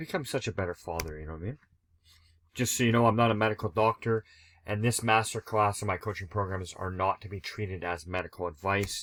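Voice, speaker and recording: This man talks very fast at a fairly low pitch, his volume shifting sharply. The sound is dry and close with no echo, on a very clean recording with a silent background. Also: ordinary pitch variation. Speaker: sobriety coach. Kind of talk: presentation. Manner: casual.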